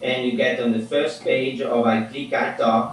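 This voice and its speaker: Noticeable background noise and audible echo from the room surround a man as he talks. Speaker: app developer and professor. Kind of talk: interview; tutorial. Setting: video call.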